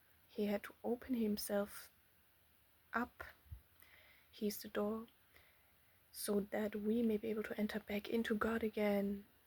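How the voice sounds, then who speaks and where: A non-native accent at a fairly slow pace, with long, frequent pauses. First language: not English. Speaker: religious teacher. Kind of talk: bible teaching monologue. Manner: halting.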